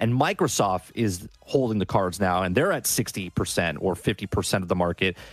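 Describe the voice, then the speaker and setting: A man's very deep, low voice at a fairly slow pace, with very even loudness, ordinary pitch variation, hardly any pauses, and a dry, close sound with no echo. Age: 40s. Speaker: gaming content creator. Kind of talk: casual chat.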